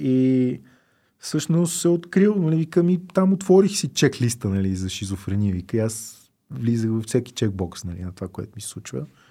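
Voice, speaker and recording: At a moderate pace, a man speaks at a medium pitch in a dark, mellow tone, with very wide pitch swings and big swings in loudness. The recording is very clean, with a silent background. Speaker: drug policy activist, organization founder. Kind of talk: casual interview chat.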